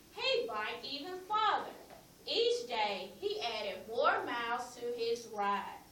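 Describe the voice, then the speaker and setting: There is noticeable background noise as a woman talks at a very slow pace. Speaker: classroom teacher. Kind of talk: reading a picture book aloud to a class.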